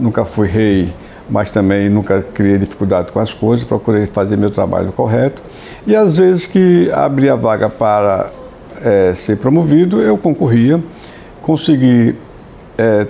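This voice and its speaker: With noticeable background noise behind him, a man speaks slowly-ish at a fairly slow pace, his fairly low voice showing lively intonation and very even loudness. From Sergipe, Brazil. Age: 70s. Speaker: judge. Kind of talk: interview. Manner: halting, many repetitions and fillers.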